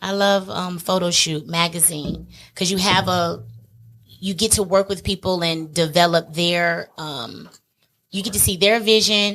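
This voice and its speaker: Using a plain, everyday voice, a woman speaks at a medium pitch and a fairly slow pace with fairly even intonation. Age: 40s. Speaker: makeup artist. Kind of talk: casual chat.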